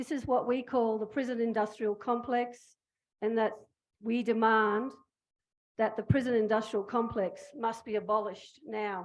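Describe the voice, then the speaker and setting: Using monotone, flat intonation, a woman with a fairly high pitch talks at a moderate pace, taking long, frequent pauses. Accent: Australian. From Australia. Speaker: prison abolition activist. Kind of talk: public speech. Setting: stage with audience. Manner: impassioned.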